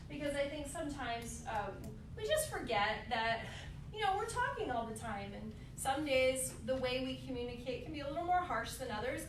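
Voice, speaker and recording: A woman with a high pitch speaks at a moderate pace with lively intonation. Noticeable background noise and audible room echo surround her voice. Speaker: therapist giving a teacher workshop. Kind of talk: lecture.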